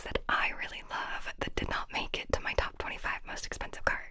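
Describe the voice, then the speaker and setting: A woman whispering at a fairly quick pace amid noticeable background noise. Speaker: ASMR creator. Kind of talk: ASMR whispered show and tell. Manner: whispered, soft, calming.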